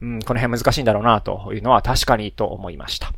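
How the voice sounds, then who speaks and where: A man talks at a very fast pace. Vocal fry runs through his speech. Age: 30s. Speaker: solo podcaster, engineer and parent. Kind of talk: casual solo monologue. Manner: many fillers and self-corrections.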